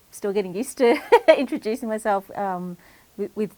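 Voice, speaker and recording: A woman at a medium pitch and fairly quick pace with ordinary pitch variation, on a very clean recording with a silent background. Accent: Australian. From Echuca, Victoria, Australia. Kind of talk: interview answer.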